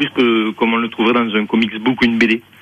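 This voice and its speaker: A man at medium pitch with a slight southern French accent, at a moderate pace. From southern France, Provence and Ariège. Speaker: mime and clown performer. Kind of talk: radio phone interview. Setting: phone call. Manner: hesitant, many fillers.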